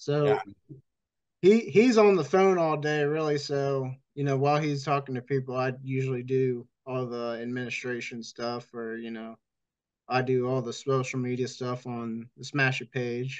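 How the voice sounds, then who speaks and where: This man has a plain, everyday voice. He speaks at a moderate pace and a medium pitch. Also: ordinary pitch variation. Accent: American. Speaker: demolition derby promoter. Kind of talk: casual chat.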